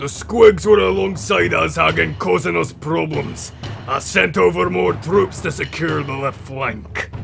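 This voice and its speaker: Someone uses a put-on character voice at a moderate pace over clear background noise. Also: man, fairly low pitch for a man. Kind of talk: epic war-tale narration. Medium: machinima. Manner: proud, gruff storytelling.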